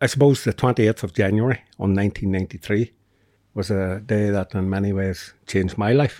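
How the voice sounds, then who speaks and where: A man with a Northern Irish accent, fairly low in pitch, dark and mellow in tone, at a fairly quick pace with fairly even intonation, in a dry, close sound with no echo on a very clean recording over a silent background. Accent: Northern Irish (Tyrone). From Northern Ireland, County Tyrone. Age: 50s. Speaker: podcaster and community group founder. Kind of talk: interview conversation.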